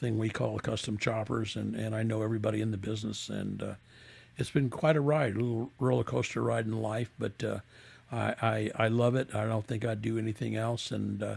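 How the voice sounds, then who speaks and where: A man's somewhat breathy, fairly low voice with an American accent, fairly quick in pace and fairly even in intonation. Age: 70s. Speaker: custom motorcycle builder. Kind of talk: interview. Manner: halting.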